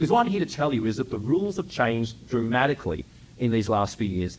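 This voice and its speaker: With an Australian accent, a man speaks at a very fast pace, his pitch swinging very widely. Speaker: entrepreneur and speaker. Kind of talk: public talk. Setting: stage with audience. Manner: animated.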